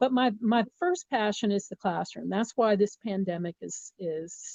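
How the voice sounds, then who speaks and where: In a normal speaking voice with an American accent, the speaker goes at a fairly slow pace with ordinary pitch variation. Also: woman, medium pitch for a woman. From US South, Miami, Florida. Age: 60s. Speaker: communication professor. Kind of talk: interview.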